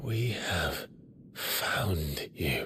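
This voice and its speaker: A raspy, put-on character voice from a man, fairly low in pitch, against clear background noise. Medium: cartoon. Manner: somber, restrained.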